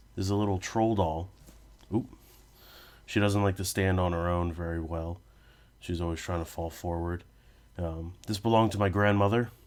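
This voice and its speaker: A man speaks with a very deep, low pitch and fairly even intonation at a moderate pace. His pauses are long and frequent. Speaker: video essayist. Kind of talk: personal essay narration. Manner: casual, hesitant with fillers.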